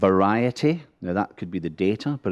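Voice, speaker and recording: Speaking with a Scottish accent, a man has a fairly low pitch and a dark, mellow tone, recorded with a dry, close sound and no echo. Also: quiet background. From Scotland. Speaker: border agency official. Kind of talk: conference panel talk. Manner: humorous, conversational.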